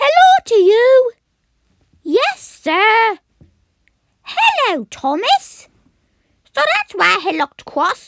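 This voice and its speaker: An extremely high, female-sounding put-on character voice at a very slow pace with long, frequent pauses. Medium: voice reel.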